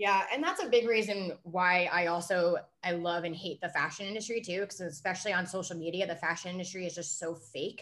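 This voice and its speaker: In an ordinary speaking voice with an American accent, the speaker moves at a fairly quick pace with hardly any pauses and fairly even intonation. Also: woman, medium pitch for a woman. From New Jersey. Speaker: beer reviewer. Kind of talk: casual chat.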